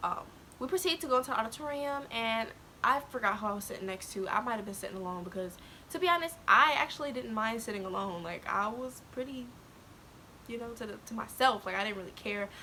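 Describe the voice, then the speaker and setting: A soft-spoken woman with a fairly high pitch, lively intonation and a very fast pace. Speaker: YouTuber. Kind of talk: storytelling vlog. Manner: hesitant.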